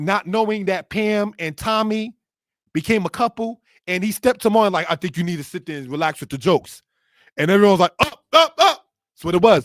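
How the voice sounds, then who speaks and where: A man talks at a fairly quick pace with a high pitch, lively intonation and an animated tone, his loudness swinging widely. The sound is dry and close, with no echo. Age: 40s. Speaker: religious history teacher. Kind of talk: lecture.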